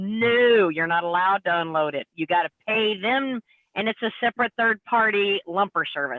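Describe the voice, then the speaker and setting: A woman with an unremarkable speaking voice talks at a medium pitch. Her pace is moderate and her intonation is lively. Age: 50s. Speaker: truck driver. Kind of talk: casual live panel chat.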